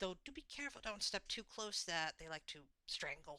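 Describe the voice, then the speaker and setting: A female-sounding, put-on character voice carries an enthusiastic tone. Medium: actual play. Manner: chatty, enthusiastic, lecturing.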